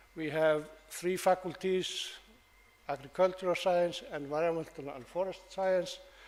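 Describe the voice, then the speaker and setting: A man with a high pitch and fairly even intonation speaks over noticeable background noise. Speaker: professor. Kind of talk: lecture. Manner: halting.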